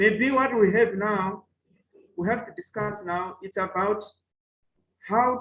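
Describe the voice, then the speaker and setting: A high-pitched man with a Malawian accent and fairly even intonation. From Mozambique. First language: Chewa. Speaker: professor. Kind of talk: webinar talk. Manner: halting.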